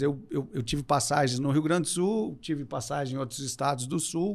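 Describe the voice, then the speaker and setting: Here a man speaks at a moderate pace. The recording is very clean, with a silent background. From southern Brazil, Porto Alegre. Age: 50s. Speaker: business executive. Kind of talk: podcast interview.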